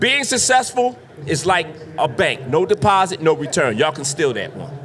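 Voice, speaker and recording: Over noticeable background noise, a man with a high pitch speaks in a raised, projected voice at a fairly quick pace, his tone animated and his pitch swinging very widely. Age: 50s. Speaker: drain cleaning business owner. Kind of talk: podcast interview before live audience. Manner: loud.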